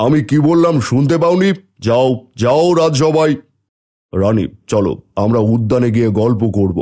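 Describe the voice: Putting on a cartoonish character voice, a man speaks at medium pitch and a fairly slow pace.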